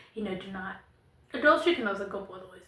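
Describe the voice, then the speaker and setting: A woman talks, and audible room echo trails her words. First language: not English. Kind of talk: monologue to camera. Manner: casual, conversational.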